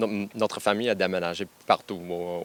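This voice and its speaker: A man with an English accent talks at a fairly slow pace in a fairly low pitch, his intonation monotone and flat. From western Canada, anglophone family. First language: English (speaking French). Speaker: university football coach. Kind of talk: radio interview. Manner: halting, many fillers and repetitions.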